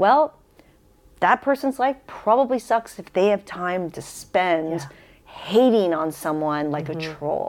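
The speaker has an American accent and an unremarkable speaking voice. The pace is fairly slow. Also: woman. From San Diego, California. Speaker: podcast host. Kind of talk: casual chat.

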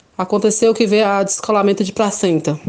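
Medium pitch in a woman's voice, dark and mellow in tone. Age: 20s. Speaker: mother giving testimony. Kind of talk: testimony.

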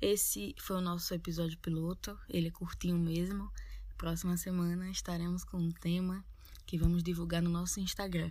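Somewhat breathy and dark, mellow in tone, a woman with a strong Northeastern Brazilian accent speaks at a fairly low pitch with monotone, flat intonation. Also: moderate pace. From Northeast Brazil. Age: 20s. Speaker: podcast co-host, university student. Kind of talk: casual podcast intro.

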